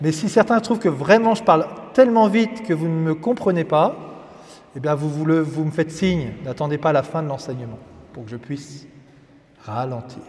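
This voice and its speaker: Noticeable background noise sits behind a man's fairly high voice. His pitch swings very widely. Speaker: priest. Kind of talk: religious teaching.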